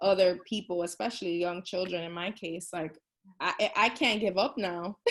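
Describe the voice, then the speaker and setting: A woman with a Bronx accent. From New York City, the Bronx. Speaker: tutor and small business owner. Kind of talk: interview. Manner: casual, filler-heavy.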